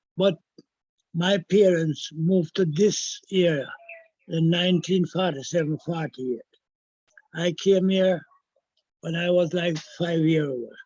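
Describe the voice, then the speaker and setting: Using fairly even intonation, a man with a high pitch talks at a fairly slow pace with long, frequent pauses. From Jamaica, Kingston (Augustown/Hermitage). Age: 70s. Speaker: historian. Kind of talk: interview. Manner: halting.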